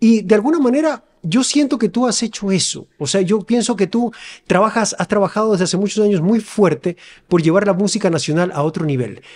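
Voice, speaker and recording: A man talks at a fairly quick pace with a high pitch. His intonation is lively against a quiet background. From Ecuador, Quevedo; Ecuador. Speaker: podcast host. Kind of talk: interview. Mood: warm, admiring, relaxed. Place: studio. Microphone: studio mic.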